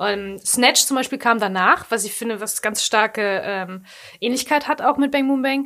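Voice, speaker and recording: Speaking with a Ruhr accent, a woman keeps a moderate pace. Her pitch varies in an ordinary way, and the recording is very clean with a silent background. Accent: Ruhr German (Ruhrpott). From Ruhr area, Germany. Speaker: podcast co-host. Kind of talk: casual chat.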